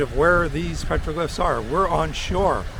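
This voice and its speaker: There is noticeable background noise and audible room echo. A man talks at a moderate pace. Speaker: travel vlogger. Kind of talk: casual vlog narration. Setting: outdoors on a beach. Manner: loud.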